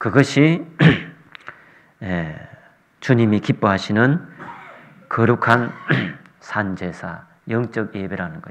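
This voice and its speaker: A man speaks at a medium pitch with lively intonation. His pace is very slow, broken by long, frequent pauses. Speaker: visiting preacher. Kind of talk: sermon. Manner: soft-spoken.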